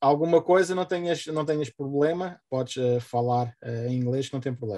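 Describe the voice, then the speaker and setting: A man with a European Portuguese accent, a fairly high pitch, a dark, mellow tone and a moderate pace. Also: ordinary pitch variation. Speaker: event host. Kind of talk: formal introduction. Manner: halting.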